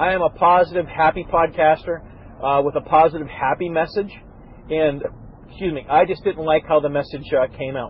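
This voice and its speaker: Against light background noise, a man talks at a fairly quick pace with fairly even intonation, in a dry sound with no echo. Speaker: podcast host. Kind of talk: casual podcast monologue. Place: car.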